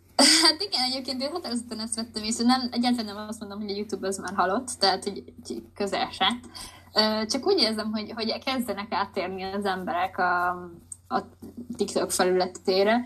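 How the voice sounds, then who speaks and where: A woman speaks in an ordinary speaking voice at a fairly high pitch and a fairly quick pace, with ordinary pitch variation. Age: 20s. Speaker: artist and graphic design student. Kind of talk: casual interview. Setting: podcast interview.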